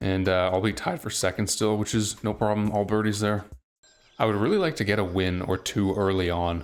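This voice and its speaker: With music in the background, a man speaks at a fairly quick pace with a fairly low pitch, fairly even intonation and very even loudness. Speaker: gaming YouTuber. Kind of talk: live gameplay commentary. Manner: fairly even, same tone whatever happens.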